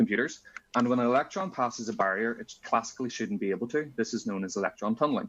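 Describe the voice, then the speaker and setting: Lively intonation from a man at a medium pitch. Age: 20s. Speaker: physics student and conference speaker. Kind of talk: conference talk. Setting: conference.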